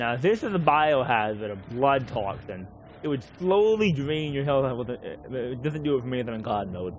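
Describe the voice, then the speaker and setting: This man speaks at a moderate pace in a medium pitch, his pitch swinging very widely. Room echo is audible. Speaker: gaming streamer. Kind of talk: live gameplay commentary. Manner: slurred, sometimes unintelligible.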